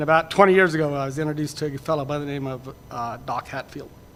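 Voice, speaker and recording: A man with an unremarkable speaking voice talks at a fairly quick pace, his fairly high pitch held in fairly even intonation. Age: 60s. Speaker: rancher. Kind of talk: panel presentation.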